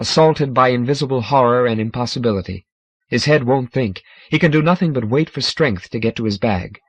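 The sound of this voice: Over a quiet background, the pitch moves in an ordinary way through an unforced reading voice.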